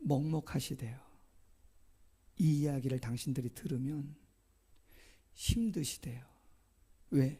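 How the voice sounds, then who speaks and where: Somewhat breathy with a dark, mellow tone, the voice moves at a very slow pace with long, frequent pauses. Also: man, fairly high pitch for a man, ordinary pitch variation. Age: 50s. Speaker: pastor. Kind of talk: sermon. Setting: church.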